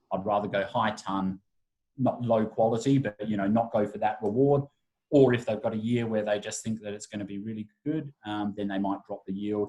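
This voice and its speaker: A man with an Australian accent has a dark, mellow tone, a fairly low pitch and fairly even intonation. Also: moderate pace. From Adelaide, Australia. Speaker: wine brand ambassador. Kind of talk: wine masterclass presentation.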